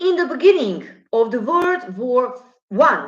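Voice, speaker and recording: A woman with a non-native accent at a very slow pace, her pitch swinging very widely. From former Yugoslavia. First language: Slavic language. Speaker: astrologer. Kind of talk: monologue on astrology and politics. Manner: halting.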